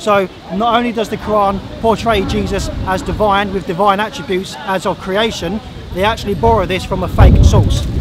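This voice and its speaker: Crowd noise fills the background as a man with a high pitch speaks at a moderate pace in monotone, flat intonation, the sound itself dry with no echo. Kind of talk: formal debate. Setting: outdoors. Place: open country.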